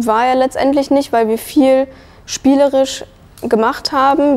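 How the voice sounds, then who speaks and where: A woman is speaking at a fairly slow pace. Her pitch varies in an ordinary way. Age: 20s. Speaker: early childhood educator; trained childcare educator. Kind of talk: testimony. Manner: hesitant, many fillers. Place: hall. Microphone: lapel.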